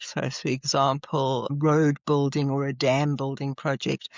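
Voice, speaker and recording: The speaker is a woman. She has a South African accent. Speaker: psychologist and leadership trainer. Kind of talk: podcast interview.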